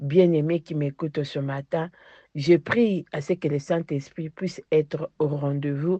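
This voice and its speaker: A woman speaks at a very slow pace in a very deep, low voice with ordinary pitch variation. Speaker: preacher. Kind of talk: sermon. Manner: fervent.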